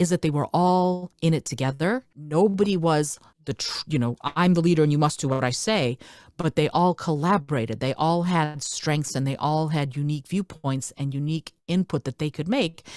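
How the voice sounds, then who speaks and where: A woman speaks with a Russian accent in a very deep, low pitch. Her pace is moderate and her pitch variation ordinary. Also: dry, close sound with no echo. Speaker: speaker, educator and podcaster. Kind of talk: interview answer.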